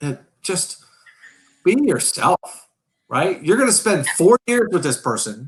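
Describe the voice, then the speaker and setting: Loud and high-pitched, a man with a New York accent speaks at a fairly slow pace with very wide pitch swings. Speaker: riding coach. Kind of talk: casual chat. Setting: live stream. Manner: boisterous.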